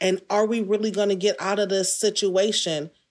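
A woman with an American accent has an ordinary speaking voice at a medium pitch. She talks at a moderate pace. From Detroit, US. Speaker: writer and performer. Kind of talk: interview.

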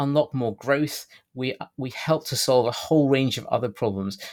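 A man speaks with a British accent. His intonation stays fairly even. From Britain. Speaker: housing policy campaigner and author. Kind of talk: interview. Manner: hesitant, many filler words.

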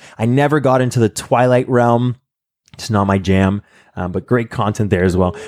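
Here a man has a normal speaking voice with medium pitch and ordinary pitch variation. He talks at a moderate pace, the sound dry and close with no echo. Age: 20s. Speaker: podcast host. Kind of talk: casual interview chat. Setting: at home.

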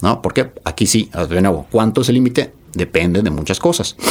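Lively intonation marks a man's unremarkable speaking voice. He has a fairly low pitch and talks at a moderate pace. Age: 40s. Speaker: nutrition expert and entrepreneur. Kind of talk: casual interview.

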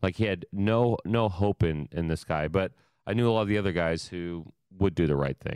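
Very deep and low in pitch, a man with an American accent speaks at a moderate pace, with a dry, close sound with no echo on a very clean recording with a silent background. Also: ordinary pitch variation. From Ohio. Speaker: podcast host, emergency management. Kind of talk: casual interview.

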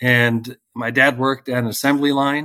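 A man speaks in a monotone, flat intonation. The recording is very clean, with a silent background and a dry, close sound with no echo. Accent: American. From Northern Virginia, US. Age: 40s. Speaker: realtor and community group founder. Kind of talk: interview conversation.

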